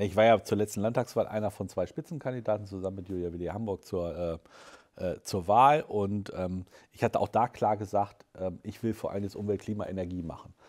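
A man speaks at a fairly quick pace in a fairly low pitch, with ordinary pitch variation over a quiet background. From southern Lower Saxony, Germany. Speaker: state environment minister. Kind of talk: interview. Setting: newsroom studio. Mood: relaxed, conversational. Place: studio.

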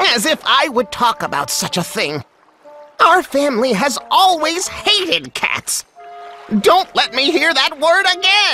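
A squeaky, high-pitched put-on character voice moves at a fairly slow pace over faint music in the background. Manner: offended, indignant.

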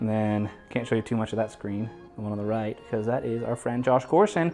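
Faint music plays in the background while a man talks at a very fast pace. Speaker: room tour host. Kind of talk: casual vlog chat. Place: home room.

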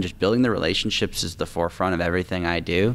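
With an American accent, a man talks at a fairly quick pace in a very deep, low pitch with ordinary pitch variation. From Tacoma, Washington, US Pacific Northwest. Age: 20s. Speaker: real estate investor. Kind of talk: interview. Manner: fluent, confident. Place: studio. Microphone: studio mic.

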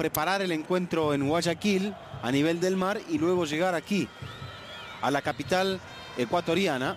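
Speaking at a moderate pace, the man has a high pitch. Noticeable background noise runs behind him. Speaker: football commentator. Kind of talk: live commentary.

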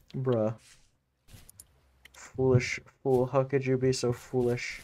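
A man's dark, mellow tone at a very slow pace. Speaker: gaming streamer. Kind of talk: casual chat. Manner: animated. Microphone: studio mic.

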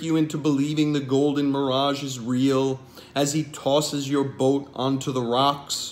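With music in the background, a man talks at a fairly slow pace in a monotone, flat intonation. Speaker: poet and translator. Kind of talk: poetry reading. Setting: home video recording. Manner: measured, formal, solemn. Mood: calm, measured, dramatic. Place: home room. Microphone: webcam.

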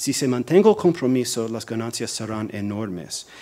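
At a fairly slow pace, a man speaks at a medium pitch. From US, New Jersey. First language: English (speaking Spanish). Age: 40s. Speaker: policy analyst, think tank director; policy analyst. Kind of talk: lecture. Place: hall. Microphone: podium.

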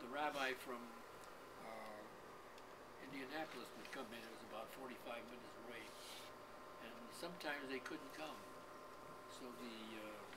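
Speech comes at a moderate pace with ordinary pitch variation. Long, frequent pauses break it up over loud background noise. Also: man. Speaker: interviewee. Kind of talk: interview answer. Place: home room. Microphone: camera far.

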